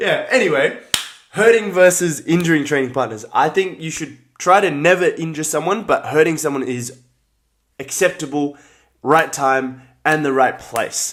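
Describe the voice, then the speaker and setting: In an Australian accent, a man speaks at a moderate pace with ordinary pitch variation. His pitch is fairly high. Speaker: martial arts fighter and livestreamer. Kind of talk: casual live stream chat. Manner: casual, filler-heavy.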